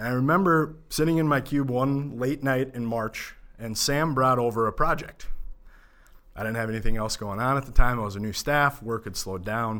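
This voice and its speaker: With an Upper Midwest accent, a man talks at a moderate pace and a medium pitch. His tone is bright and sharp, and the recording is very clean with a silent background. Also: ordinary pitch variation. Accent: Upper Midwest American. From Minnesota, Minneapolis suburbs. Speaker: accountant. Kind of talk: podcast interview.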